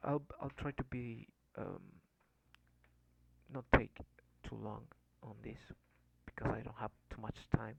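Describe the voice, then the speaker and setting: Long, frequent pauses break up speech at a moderate pace, recorded with a dry, close sound and no echo. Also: man. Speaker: programming learner, coding tutorial maker. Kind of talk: tutorial. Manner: halting, many fillers.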